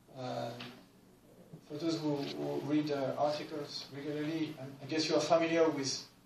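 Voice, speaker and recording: A man's fairly high voice, monotone and flat, with noticeable background noise and audible room echo. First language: not English. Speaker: academic researcher. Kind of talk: conference presentation. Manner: halting, many fillers.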